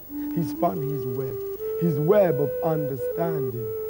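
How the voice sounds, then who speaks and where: With music playing in the background, a man speaks at a fairly slow pace with lively intonation. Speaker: storyteller; TV presenter. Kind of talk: children's educational science narration; storytelling.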